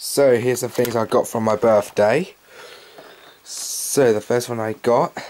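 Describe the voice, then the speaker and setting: Speaking at a very slow pace, a man keeps his intonation fairly even. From England. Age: young. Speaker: youtuber. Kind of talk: unboxing review. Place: home room. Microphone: webcam.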